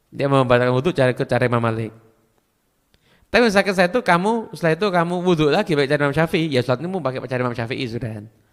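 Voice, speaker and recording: A man's fairly high voice with a Madurese accent, very fast and lively in intonation. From Madura, Indonesia. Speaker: Islamic preacher. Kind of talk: religious Q&A lecture.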